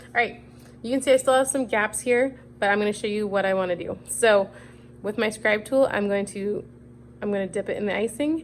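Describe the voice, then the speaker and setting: Fairly high in pitch, a woman talks at a fairly quick pace with ordinary pitch variation. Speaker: cookie decorating instructor. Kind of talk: tutorial. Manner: fast.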